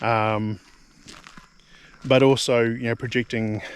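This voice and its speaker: The speaker has a New Zealand accent and a fairly slow pace. The intonation stays fairly even. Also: man. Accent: New Zealand accent, called weird by himself. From New Zealand (Nelson). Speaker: homesteading vlogger. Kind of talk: casual monologue vlog. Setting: outdoors, walking around homestead. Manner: halting, many fillers and repetitions.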